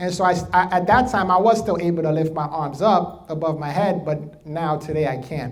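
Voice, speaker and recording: A man with a New York accent talks in an animated tone at a high pitch, with ordinary pitch variation. Room echo is audible. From New York, the Bronx. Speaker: motivational speaker. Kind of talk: keynote speech.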